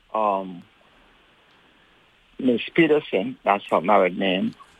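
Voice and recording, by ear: With lively intonation, a man talks slowly in a fairly low pitch that has a slightly husky edge.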